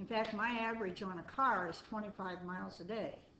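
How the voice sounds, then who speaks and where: Delivered at a moderate pace in a monotone, flat intonation, the speech carries audible room echo and noticeable background noise. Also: woman. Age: 70s. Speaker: resident speaking at public meeting. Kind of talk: public comment at city meeting. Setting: city board meeting room.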